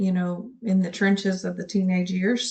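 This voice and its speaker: A woman speaks at a medium pitch with a flat, monotone delivery. Her voice is somewhat breathy. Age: 50s. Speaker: nurse and postpartum depression vlogger. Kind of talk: personal vlog monologue. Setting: home office. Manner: stutters and rambles; hesitant, many filler words.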